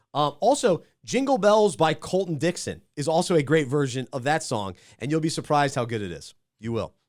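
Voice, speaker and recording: On a very clean recording with a silent background, a man with vocal fry speaks at a fairly quick pace and fairly high pitch, his intonation lively. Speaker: podcast host. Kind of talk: casual chat.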